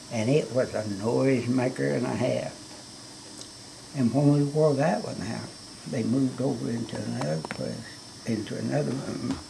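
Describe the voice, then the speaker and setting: Amid noticeable background noise, a man with a Southern US accent talks at a moderate pace, leaving long, frequent pauses. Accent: Southern US rural. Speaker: great-grandfather. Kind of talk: storytelling about own life. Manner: casual, rambling.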